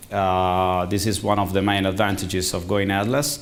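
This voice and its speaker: Audible room echo surrounds a man speaking with an Italian accent. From Italy. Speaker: conference speaker, tech executive. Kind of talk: conference talk. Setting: stage with audience. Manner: halting.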